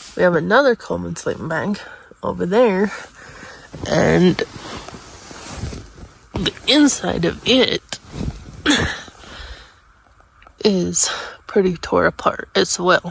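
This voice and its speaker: Amid light background noise, a woman speaks at a very slow pace with long, frequent pauses, the sound dry with no echo. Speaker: camping vlogger. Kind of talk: casual vlog chat. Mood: relaxed morning chat. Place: tent. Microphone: phone near.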